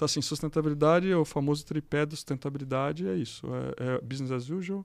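Fairly high-pitched with ordinary variation, a man talks at a fairly quick pace in an unremarkable speaking voice. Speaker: electrical engineer and executive. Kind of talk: casual interview.

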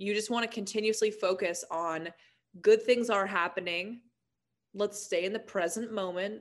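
At a moderate pace, a woman talks in a normal speaking voice, her pitch medium and her intonation fairly even. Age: 20s. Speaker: motivational speaker and author. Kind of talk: casual chat.

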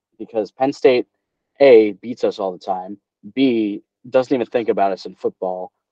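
An American-accented man has an ordinary speaking voice at a medium pitch. He moves at a moderate pace with ordinary pitch variation. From New Jersey. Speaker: sports podcast host. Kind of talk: casual chat. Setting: video call.

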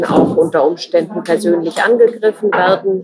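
Noticeable noise sits in the background. The talking unfolds fairly slowly. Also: woman. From Germany. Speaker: journalist. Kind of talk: interview.

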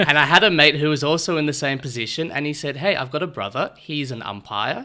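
On a very clean recording with a silent background, a man with an Australian accent talks fairly quickly in a bright, sharp tone at a fairly high pitch. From Australia, Melbourne. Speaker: amateur sports league organiser and umpire. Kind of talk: interview.

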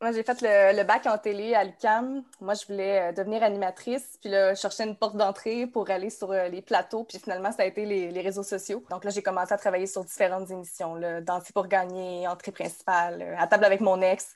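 A woman's medium-pitched voice, monotone and flat, at a fairly quick pace with hardly any pauses. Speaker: Instagram account founder. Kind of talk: casual chat.

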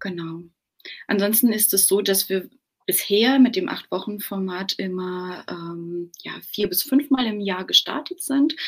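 A woman with a plain, everyday voice, lively intonation, big swings in loudness and a fairly slow pace. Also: medium pitch for a woman. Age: 30s. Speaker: business owner and mother. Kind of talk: interview.

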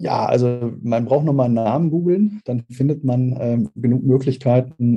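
Over background music, a man with a medium pitch talks at a moderate pace with ordinary pitch variation. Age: 40s. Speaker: speaker agency owner and sales consultant. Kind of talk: podcast interview.

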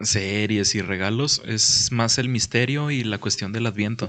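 A man with a plain, everyday voice talks at a medium pitch and a fairly slow pace over a quiet background. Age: 20s. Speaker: podcast co-host. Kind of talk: casual chat.

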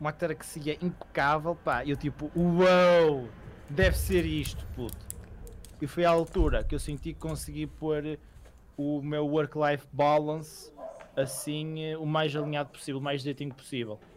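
A man speaks with a European Portuguese accent at a fairly slow pace. His pitch is fairly high and his intonation fairly even. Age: 20s. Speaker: podcast co-host. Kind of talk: casual chat.

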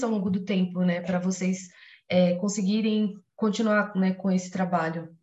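Her voice has a somewhat breathy quality. This woman talks at a moderate pace. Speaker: biology student and interviewer. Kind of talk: interview. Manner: excited.

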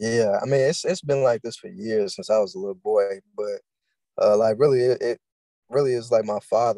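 In a dry, close sound with no echo, a man speaks at a medium pitch with a dark, mellow tone and ordinary pitch variation. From Louisville, Kentucky. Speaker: engineering student and business owner. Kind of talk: interview.

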